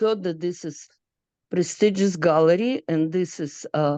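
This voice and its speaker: A woman is speaking. Her tone is dark and mellow. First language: not English. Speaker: artist. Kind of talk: Q&A question. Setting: video call. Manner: halting.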